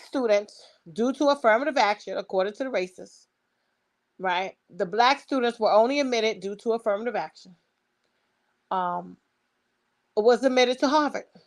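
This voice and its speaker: With a Brooklyn accent, a woman talks at a moderate pace in an animated tone with lively intonation. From New York, Brooklyn. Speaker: online commentator. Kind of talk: opinion monologue.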